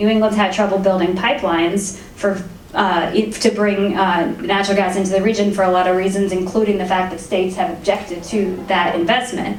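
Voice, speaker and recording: Over noticeable background noise and audible room echo, a woman speaks at a medium pitch and a fairly quick pace, in a monotone with flat intonation and hardly any pauses. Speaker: energy regulatory commissioner. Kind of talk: fireside chat interview. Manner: fast.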